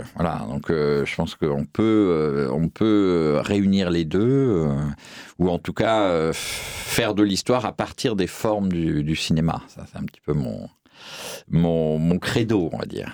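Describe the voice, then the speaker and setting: This man has a very deep, low voice and speaks very slowly. His intonation is lively. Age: 50s. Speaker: film historian and critic. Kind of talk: interview. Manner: hesitant, many fillers.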